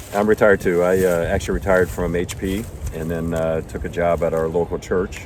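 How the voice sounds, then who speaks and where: Very deep and low-pitched, this man talks at a fairly quick pace with fairly even intonation. Background noise is noticeable. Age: 60s. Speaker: retired hiker and video host. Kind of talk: casual chat.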